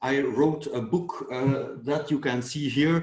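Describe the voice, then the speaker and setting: A man speaks with a Flemish Belgian accent, and audible room echo surrounds his voice. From Belgium. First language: Dutch. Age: 40s. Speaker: dermatologist and fitness YouTuber. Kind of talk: interview conversation.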